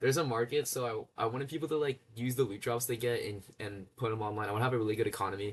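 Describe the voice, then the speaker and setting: A man talks at a very fast pace with hardly any pauses. His voice is medium in pitch and somewhat breathy, with ordinary pitch variation. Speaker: coding and game dev YouTuber. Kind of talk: casual screen-share demo. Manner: halting, many fillers and restarts.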